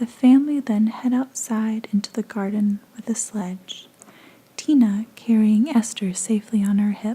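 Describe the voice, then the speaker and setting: Soft-spoken with a soothing tone, the voice moves at a moderate pace. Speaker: ASMR content creator. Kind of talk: soft-spoken ASMR fanfiction reading. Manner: soft-spoken, soothing.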